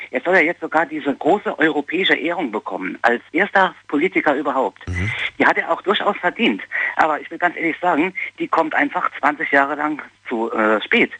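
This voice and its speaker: A man with a bright, sharp tone and vocal fry speaks fairly quickly at a fairly high pitch with lively intonation. The sound is dry and close, with no echo. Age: 40s. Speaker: caller. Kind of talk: phone-in opinion. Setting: phone call.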